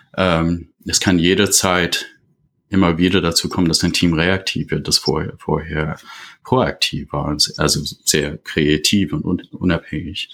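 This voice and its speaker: With an English-speaking accent, a man talks fairly slowly at a very deep, low pitch and with fairly even intonation. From USA. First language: English (speaking German). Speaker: leadership consultant. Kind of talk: podcast interview. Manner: halting, many fillers.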